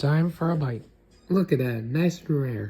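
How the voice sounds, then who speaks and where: Music plays behind a man who speaks fairly slowly in an upbeat tone at a fairly high pitch. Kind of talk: casual food vlog talk to camera.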